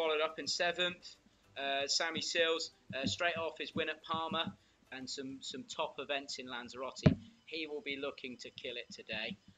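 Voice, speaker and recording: Here a man uses a plain, everyday voice with a fairly high pitch and ordinary pitch variation. He keeps a moderate pace while his loudness swings widely. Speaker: windsurf coach. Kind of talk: live commentary. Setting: live stream.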